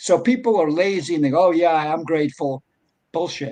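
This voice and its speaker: A man is speaking with lively intonation. His pitch is fairly high. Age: 60s. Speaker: bitcoin advocate and entrepreneur. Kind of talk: casual chat.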